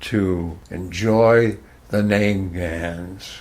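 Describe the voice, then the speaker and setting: This man has a fairly low pitch and a New England accent. His intonation stays fairly even. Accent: New England American. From Hartford, Connecticut, USA. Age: 90s. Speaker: former radio worker. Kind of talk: interview answer, reminiscing.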